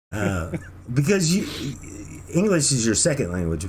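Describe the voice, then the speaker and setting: Somewhat breathy, a man speaks at a fairly slow pace, his pitch swinging very widely. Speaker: podcast host. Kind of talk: casual chat.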